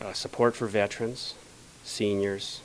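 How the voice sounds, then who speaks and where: The speaker uses monotone, flat intonation with a Canadian prairie accent. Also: man. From rural Saskatchewan, Canada. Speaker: election candidate. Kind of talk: interview. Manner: hesitant, many fillers.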